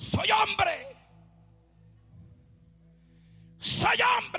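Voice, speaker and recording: A man shouting in a put-on character voice with music in the background. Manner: shouting, belligerent.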